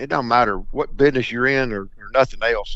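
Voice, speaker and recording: With a Mississippi accent, a man talks at a fairly quick pace in a medium pitch with ordinary pitch variation. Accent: Mississippi Southern. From US South, Mississippi Delta. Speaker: duck hunting broker. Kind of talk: podcast interview. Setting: podcast.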